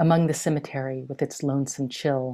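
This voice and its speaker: A woman's very deep, low voice with a dark, mellow tone, monotone and flat, at a moderate pace against a quiet background. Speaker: poet. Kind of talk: poetry reading. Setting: video call. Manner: measured, lyrical, incantatory. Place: home room. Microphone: webcam.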